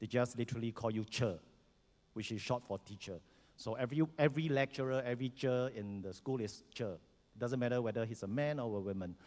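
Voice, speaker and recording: A man's fairly quick speech with a Singaporean accent. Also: medium pitch for a man, ordinary pitch variation. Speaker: educator and former soldier. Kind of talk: panel self-introduction. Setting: conference stage with audience. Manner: hesitant, many fillers.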